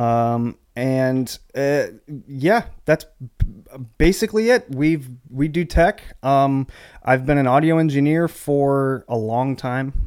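In a very clean recording with a silent background, a man speaks very slowly at a fairly high pitch with ordinary pitch variation. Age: 30s. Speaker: church audio engineer. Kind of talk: casual chat.

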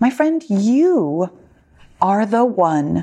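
A very slow woman's voice with very wide pitch swings on a very clean recording with a silent background. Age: 50s. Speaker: weight loss and menopause coach, podcast host. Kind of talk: solo podcast monologue. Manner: conversational.

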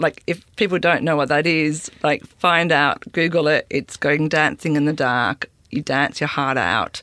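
Someone with an Australian accent talks at a fairly slow pace. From Sydney, Australia. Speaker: festival curator. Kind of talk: casual interview. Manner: hesitant, many fillers.

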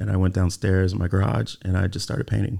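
In an American accent, a man speaks with a very deep, low pitch and a dark, mellow tone, his pitch varying in an ordinary way on a very clean recording with a silent background. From US East Coast (Delaware), early childhood in California. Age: 30s. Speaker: artist and architectural designer. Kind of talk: interview conversation. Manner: halting, many fillers and repetitions.

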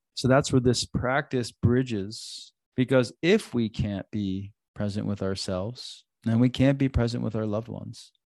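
In a dry, close recording with no echo and a quiet background, a man with an unremarkable speaking voice talks at medium pitch with fairly even intonation. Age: 40s. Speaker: relationship coach and yoga teacher, podcast host. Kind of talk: solo podcast talk on relationships and self-growth; guided breathing meditation inviting listeners to close eyes. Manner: warm, conversational, casual with filler phrases; slow, gentle, soothing invitations with pauses.

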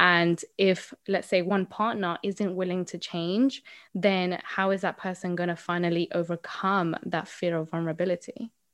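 A woman with a Spanish accent talks at a moderate pace and medium pitch, with fairly even intonation and hardly any pauses. The sound is dry and close with no echo, over a quiet background. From Colombia. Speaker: mindset coach. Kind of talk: interview.

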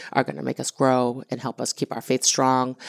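A woman speaks with an American accent in a very deep, low pitch. The sound is dry and close, with no echo. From New England (Massachusetts small town). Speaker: business co-owner and entrepreneur's wife. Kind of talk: casual interview testimony.

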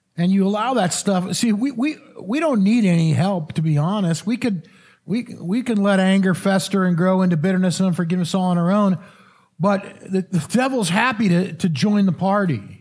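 Heard in a very clean recording with a silent background, the voice has an American accent, a moderate pace, ordinary pitch variation, and very even loudness. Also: man, high pitch for a man. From Missouri. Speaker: pastor. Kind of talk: sermon. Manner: halting, repeats words.

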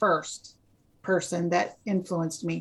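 A woman at a moderate pace. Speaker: loan officer. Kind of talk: casual chat.

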